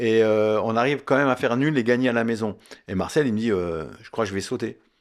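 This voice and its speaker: Very fast and at a medium pitch with ordinary pitch variation, a man speaks on a very clean recording with a silent background. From Lorraine, France (Mont-Saint-Martin, Longwy area). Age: 60s. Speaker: former footballer. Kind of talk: interview. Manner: halting, many hesitations.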